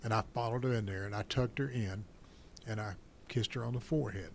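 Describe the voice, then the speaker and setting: A man talks at a very fast pace. His medium-pitched voice is somewhat breathy. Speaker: war veteran. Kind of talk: personal testimony in interview.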